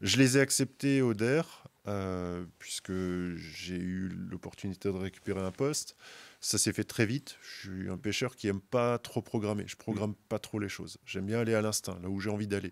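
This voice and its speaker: At a moderate pace, a man speaks in a fairly low pitch. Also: ordinary pitch variation. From Moselle, eastern France. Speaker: carp angler, brand team member; podcast guest. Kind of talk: casual chat. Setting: outdoors at a fishing event. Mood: relaxed anecdotal. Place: studio. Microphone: studio mic.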